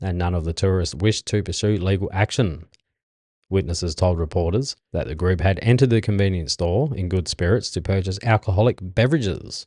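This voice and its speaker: A man with an Australian accent speaks at a fairly quick pace in a very deep, low voice. His pitch varies in an ordinary way, and the background is quiet. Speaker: podcast host. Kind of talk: reading news stories aloud with casual asides. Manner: halting, stumbling over words.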